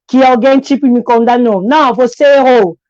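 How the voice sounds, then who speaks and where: Recorded dry and close with no echo, a woman with a high pitch speaks at a moderate pace. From Congo. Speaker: immigrant woman sharing her story. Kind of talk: testimony. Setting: live stream. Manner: halting.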